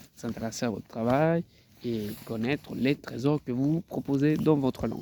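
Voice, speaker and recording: With a Spanish accent, a man speaks at a medium pitch in a dark, mellow tone with lively intonation. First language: Spanish (speaking French). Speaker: translator. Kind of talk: self-promotional video talk. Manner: halting, many hesitations and repetitions.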